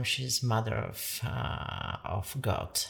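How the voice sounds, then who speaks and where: Vocal fry from a woman, with ordinary pitch variation. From Poland. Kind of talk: casual chat. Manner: halting.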